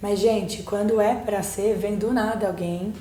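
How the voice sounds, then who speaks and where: With noticeable background noise and audible room echo, a woman speaks fairly slowly at a fairly high pitch. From Germany, then Brazil. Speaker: psychologist, book co-author. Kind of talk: podcast interview.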